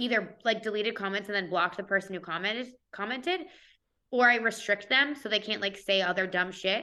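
A fairly quick pace with ordinary pitch variation. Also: woman. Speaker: comedian and content creator. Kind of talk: casual interview chat. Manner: casual, playful, filler-heavy.

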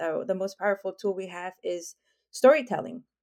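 A woman speaks at a fairly quick pace with ordinary pitch variation, in a very clean recording with a silent background. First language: not English. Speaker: tech strategy guest. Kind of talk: interview conversation.

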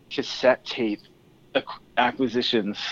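With a Californian accent, a man speaks in a dry, close sound with no echo. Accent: Californian American. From California (Tehachapi). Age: 30s. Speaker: album cover artist. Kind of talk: casual chat.

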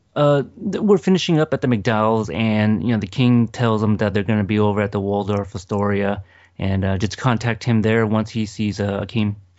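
A man speaks at a fairly quick pace with hardly any pauses, his fairly low voice keeping a fairly even intonation. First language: not English. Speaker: movie podcaster. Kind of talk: casual chat. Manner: halting.

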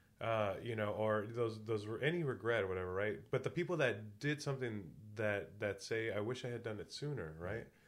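Here is a man with an ordinary speaking voice, pitched at a medium level. He talks at a fairly quick pace with ordinary pitch variation. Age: 40s. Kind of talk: casual chat.

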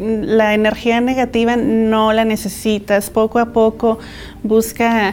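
A woman speaks at a very slow pace with monotone, flat intonation. There is noticeable background noise. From Mexico (Guadalajara, Jalisco) and California. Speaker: entrepreneur, business owner. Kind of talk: interview.

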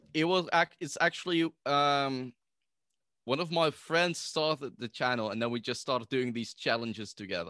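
A man with a Dutch accent speaks at a moderate pace in a fairly high pitch, his tone bright and sharp and his intonation lively. The sound is dry and close with no echo, over a quiet background. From Netherlands. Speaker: podcaster guest. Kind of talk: casual chat.

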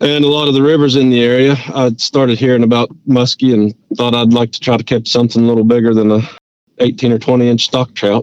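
In an Appalachian accent, the speaker goes at a fairly quick pace with very even loudness and fairly even intonation, the sound dry and close with no echo. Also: man, medium pitch for a man. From West Virginia mountains. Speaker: angler. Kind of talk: interview.

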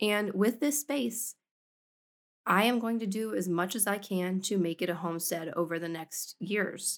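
At a moderate pace, a woman talks in an ordinary speaking voice with ordinary pitch variation. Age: 30s. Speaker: homesteading podcast host. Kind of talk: casual monologue.

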